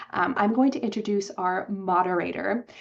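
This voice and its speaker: A woman talks while music plays behind her. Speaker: webinar organizer introducing the panel. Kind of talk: webinar opening remarks. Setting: online webinar. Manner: halting, repeated syllables.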